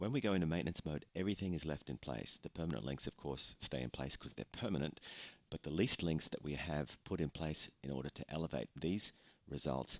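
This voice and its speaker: This man talks at a fairly quick pace in a very deep, low voice with vocal fry and ordinary pitch variation, the sound dry and close with no echo. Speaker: online reputation management business owner. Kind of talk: screen-share explainer narration.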